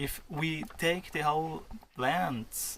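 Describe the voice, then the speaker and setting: A man speaks in an Austrian accent with lively intonation. Vocal fry runs through his voice. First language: German (Austrian). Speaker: vlogger. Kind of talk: casual chat. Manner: halting.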